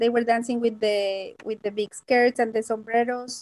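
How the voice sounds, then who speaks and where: A woman with a Mexican accent talks at a high pitch in a dark, mellow tone, with fairly even intonation and a moderate pace, in a dry, close sound with no echo. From Mexico, Puebla. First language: Spanish. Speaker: Spanish teacher. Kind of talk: interview. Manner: halting.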